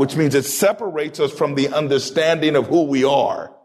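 The man's tone is animated, at a moderate pace. His pitch sits fairly high. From US military family, born in Turkey, raised partly in Taiwan and the US. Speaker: pastor. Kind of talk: sermon excerpts within radio interview.

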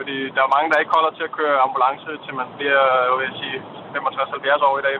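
A man with a fairly high voice speaks in a monotone, flat intonation over noticeable background noise. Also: fairly quick pace, big swings in loudness. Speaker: caller. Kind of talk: phone-in call. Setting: phone call from a car.

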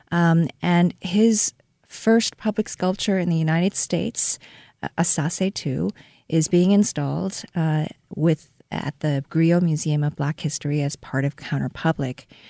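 Dry, close and without echo, this very clean recording with a silent background has a woman speaking fairly slowly in a Korean accent. Her pitch is fairly low and varies in an ordinary way, with a dark, mellow tone. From South Korea (Seoul). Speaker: art museum director. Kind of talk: interview. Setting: radio studio.

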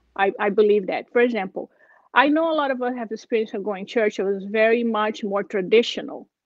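A woman's fairly high voice with a Brazilian accent. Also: ordinary pitch variation, fairly quick pace. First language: Portuguese. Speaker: churchgoer sharing faith story. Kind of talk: testimony. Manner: halting.

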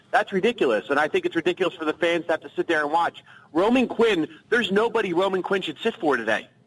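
Over noticeable background noise, a man with a high pitch talks at a very fast pace with lively intonation in a dry, close sound with no echo. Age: 30s. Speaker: sports radio caller. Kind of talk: call-in sports talk.

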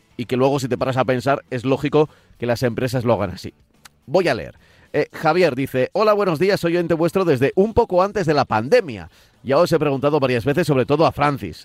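Over music in the background, a man talks at a fairly quick pace with lively intonation, the sound dry and close with no echo. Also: fairly high pitch for a man. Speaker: radio host. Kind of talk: radio show chat.

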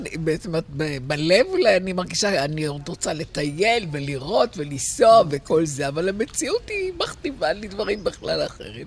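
Over music in the background, a woman speaks at a moderate pace with a medium pitch and very wide pitch swings. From Israel, Tel Aviv. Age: 80s+. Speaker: retired teacher. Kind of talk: casual chat.

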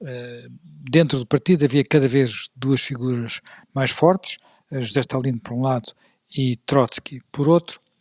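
A man's very slow delivery with ordinary pitch variation. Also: dry, close sound with no echo. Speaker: podcast host and moderator. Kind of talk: history discussion. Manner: halting, many fillers and repeats.

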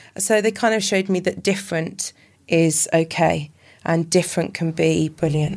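Speaking at a moderate pace, a woman with a fairly low pitch and vocal fry keeps fairly even intonation and very even loudness. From Wales, Llanelli. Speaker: army veteran and para athlete. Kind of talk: casual chat. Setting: House of Lords building.

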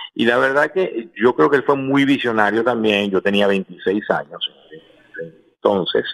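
Speaking at a fairly slow pace, a man with a medium pitch keeps his loudness very even while his intonation stays lively. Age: 50s. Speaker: music manager. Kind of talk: interview. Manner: halting, many repeated words.

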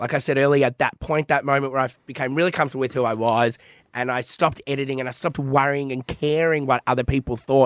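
In an Australian accent, a man with a medium pitch speaks at a very fast pace in an animated tone, the sound dry and close with no echo. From Melbourne, Australia. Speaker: social media comedian. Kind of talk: casual podcast interview. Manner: animated, swears casually.

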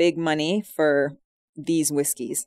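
A woman speaks with a Scottish accent. The recording is very clean, with a silent background and a dry, close sound with no echo. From Scotland. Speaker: host's wife, guest. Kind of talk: casual radio chat. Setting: radio studio.

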